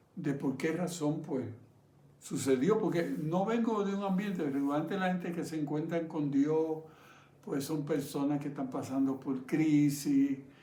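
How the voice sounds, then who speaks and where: Audible room echo surrounds a man's fairly high voice. His pitch variation is ordinary. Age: 70s. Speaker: pastor. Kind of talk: sermon.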